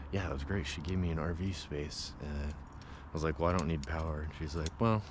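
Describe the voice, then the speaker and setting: A man at a moderate pace with fairly even intonation, plus audible room echo. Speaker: camping vlogger. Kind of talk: casual vlog narration. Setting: outdoors at a campground. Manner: soft-spoken.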